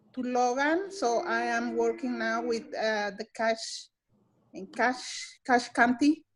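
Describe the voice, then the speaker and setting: A woman with a Spanish accent speaks at a high pitch and very slow pace in a very clean recording with a silent background. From El Salvador. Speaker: nutrition educator. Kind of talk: staff meeting self-introduction. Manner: halting, many fillers and repetitions.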